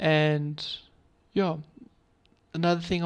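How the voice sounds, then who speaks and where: Against a quiet background, a man with a fairly high pitch speaks fairly slowly in a monotone, flat way. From South Africa. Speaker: forex trading mentor. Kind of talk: community update talk. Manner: halting, with pauses.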